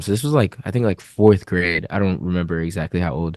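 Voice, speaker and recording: A man with an American accent, very deep and low in pitch, in a dry, close sound with no echo against a quiet background. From US South, Gwinnett County, Georgia. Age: 20s. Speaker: rapper. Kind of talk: interview.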